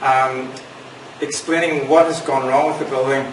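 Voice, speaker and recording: Over noticeable background noise and audible room echo, a man with a Northern Irish accent talks at a moderate pace in a medium pitch with monotone, flat intonation. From Northern Ireland. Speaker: priest. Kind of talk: public talk.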